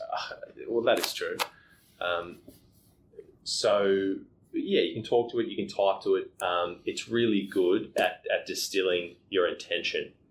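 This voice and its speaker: A man talks at a fairly slow pace, pausing long and often. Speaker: podcast co-host. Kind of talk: casual chat. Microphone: poor audio quality, not a studio.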